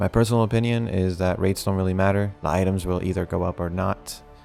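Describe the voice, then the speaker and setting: Over music in the background, a man talks at a very fast pace. His pitch is very deep and low, and his intonation is fairly even. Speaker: gaming video creator. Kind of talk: scripted game news update.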